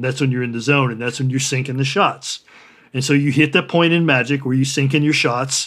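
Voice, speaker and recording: A man with a General American accent speaks in a normal speaking voice at medium pitch and a fairly quick pace. His intonation stays fairly even, and the recording is very clean with a silent background. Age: 60s. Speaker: artist and writer. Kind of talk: interview.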